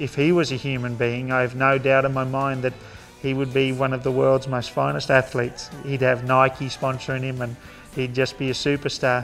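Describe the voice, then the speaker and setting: Over music in the background, a man with an Australian accent talks at a moderate pace in a monotone, flat intonation. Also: medium pitch for a man. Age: 30s. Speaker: horseman and entertainer. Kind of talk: interview answer.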